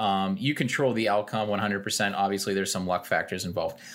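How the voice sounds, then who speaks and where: This man has an unremarkable speaking voice, a fairly low pitch and a fairly quick pace. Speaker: podcast co-host. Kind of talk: casual chat.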